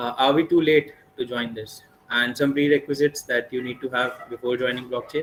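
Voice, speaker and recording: Noticeable background noise sits under the speech. The pace is fairly quick and the intonation fairly even. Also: man. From northern India (Delhi, Mumbai). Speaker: blockchain speaker. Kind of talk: webinar lecture. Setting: online live session. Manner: fast.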